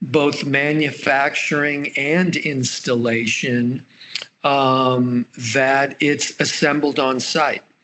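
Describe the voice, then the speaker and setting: The delivery is very slow, with monotone, flat intonation. Noticeable background noise runs underneath. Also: man. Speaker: startup founder presenting a turbine design. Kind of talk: business presentation.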